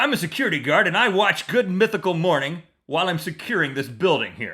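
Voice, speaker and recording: A man talks very fast in a gruff, high-pitched put-on character voice. The recording is very clean, with a silent background. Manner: emphatic.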